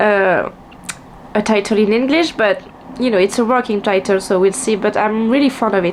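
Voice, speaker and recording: With a strong French accent, a woman speaks at a moderate pace. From France. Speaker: vlogger and writer. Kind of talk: casual chat. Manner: halting, many fillers and restarts.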